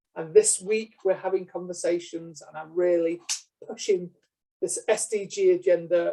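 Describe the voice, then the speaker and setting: A man with a British accent. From UK. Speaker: lecturer. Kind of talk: lecture. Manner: hesitant, many fillers.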